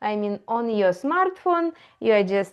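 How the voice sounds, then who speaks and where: A woman is speaking. She has a strong Eastern European accent. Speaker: AI educator. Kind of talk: tutorial. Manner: halting, many fillers.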